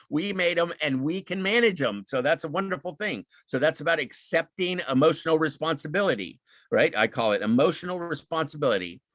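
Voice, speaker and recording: A man with a fairly high pitch speaks at a fairly quick pace, with lively intonation and vocal fry. The sound is dry and close, with no echo. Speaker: speaker on emotional intelligence. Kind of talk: lecture. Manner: fast; animated.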